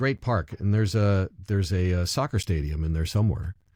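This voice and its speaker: Using a plain, everyday voice, a man speaks at a moderate pace with a fairly low pitch, ordinary pitch variation and very even loudness. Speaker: public address announcer. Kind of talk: interview answer.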